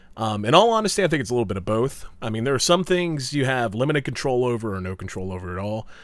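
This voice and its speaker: Talking very fast with hardly any pauses, a man with a slight southern West Virginia accent uses lively intonation at a medium pitch. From US South, southern West Virginia. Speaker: esports commentator. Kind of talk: viewer Q&A monologue.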